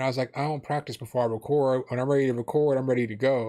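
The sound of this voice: Very fast and fairly even in intonation, a man talks at a medium pitch with a dark, mellow tone.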